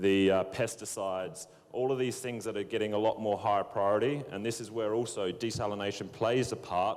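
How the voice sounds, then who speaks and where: A fairly low-pitched man with an Australian accent at a moderate pace, ordinary pitch variation, music in the background. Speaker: water industry professional. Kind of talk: panel discussion.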